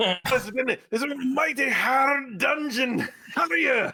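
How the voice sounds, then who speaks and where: Fairly slow pacing in a put-on character voice. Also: man, extremely high pitch for a man. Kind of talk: rough fantasy voice. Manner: gruff, hearty.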